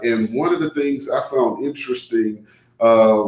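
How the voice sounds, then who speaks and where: Medium-pitched male speech with a dark, mellow tone. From New Orleans, Louisiana. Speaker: radio show host, tax advisor. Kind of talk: talk radio monologue. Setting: live online radio broadcast. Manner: casual, with filler words.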